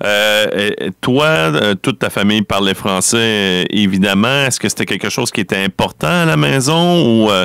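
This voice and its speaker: At a moderate pace, a man with a fairly low pitch speaks with lively intonation and very even loudness. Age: 40s. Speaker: radio host. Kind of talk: interview. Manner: halting.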